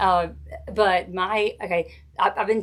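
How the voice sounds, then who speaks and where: A woman speaks with a Southern US accent at a medium pitch. Her intonation is flat and monotone. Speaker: wreath maker and craft tutor. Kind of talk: live craft tutorial with viewer chat. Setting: Facebook live stream. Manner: casual, chatty.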